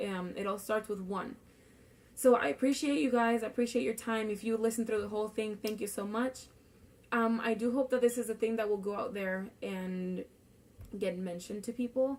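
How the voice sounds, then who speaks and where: This voice moves at a moderate pace in a Spanish accent. Its pitch variation is ordinary. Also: woman. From Puerto Rico. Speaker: student. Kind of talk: class speech. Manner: casual, with fillers.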